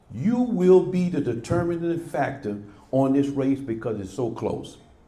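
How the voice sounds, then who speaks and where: There is audible room echo. A man speaks at a fairly slow pace. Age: 70s. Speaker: former local politician. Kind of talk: prepared remarks at a press club. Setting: press club event with audience. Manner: emphatic, impassioned.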